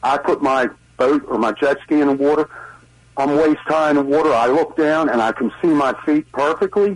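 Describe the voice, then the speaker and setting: This man, with a Baltimore accent and a fairly high pitch, speaks at a moderate pace with very even loudness and ordinary pitch variation. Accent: Baltimore-area Maryland. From Maryland, Brooklyn Park. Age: 60s. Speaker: caller. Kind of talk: call-in comment. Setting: phone call.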